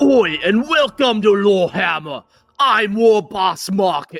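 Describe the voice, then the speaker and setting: Music plays in the background as a man puts on a gruff character voice, pitched high and delivered at a fairly slow pace. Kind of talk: gruff, acted.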